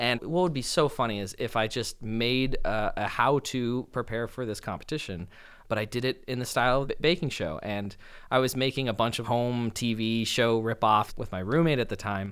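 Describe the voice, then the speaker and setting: A normal speaking voice with an American accent, delivered at a moderate pace with ordinary pitch variation. The recording is very clean, with a silent background. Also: man, medium pitch for a man. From US West Coast, Los Angeles. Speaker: saxophonist. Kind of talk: interview.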